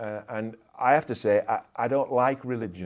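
Recorded very cleanly over a silent background, a man with a Yorkshire accent speaks at a medium pitch with ordinary pitch variation. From Yorkshire, England. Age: 50s. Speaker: sports club chaplain and pastor. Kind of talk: casual interview.

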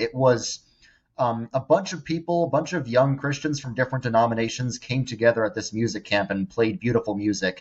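A man with an American accent speaks at a fairly quick pace, his voice somewhat breathy. His pitch is medium, with ordinary variation. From New York suburbs. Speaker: social media influencer. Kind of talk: interview testimony.

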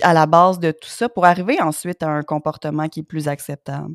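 The recording of this woman is very clean, with a silent background. The sound is dry and close, with no echo. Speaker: podcast host. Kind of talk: interview.

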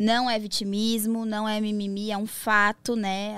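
In a very clean recording with a silent background, a woman speaks with monotone, flat intonation. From São Paulo, Brazil. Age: 20s. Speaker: DJ and adult content entrepreneur. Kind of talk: casual interview chat.

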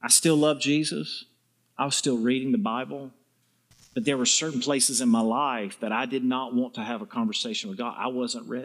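In a very clean recording with a silent background, a man with a Southern US accent talks at a fairly quick pace, his medium pitch showing ordinary variation. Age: 50s. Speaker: visiting preacher. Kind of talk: sermon. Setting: church with congregation.

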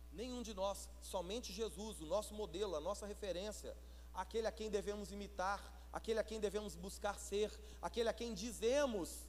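This man speaks at a medium rate. His voice carries audible echo from the room. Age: 40s. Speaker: pastor. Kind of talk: sermon.

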